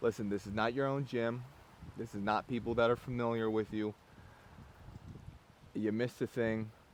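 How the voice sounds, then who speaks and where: A man of medium pitch with an American accent, at a moderate pace. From US Northeast, Philadelphia area. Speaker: strength coach. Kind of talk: casual monologue to camera while training. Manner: animated.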